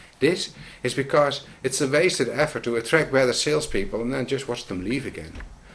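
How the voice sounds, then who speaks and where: The speaker has a Dutch accent and talks at a fairly quick pace. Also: man. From Netherlands. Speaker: business consultant. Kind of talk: scripted narration.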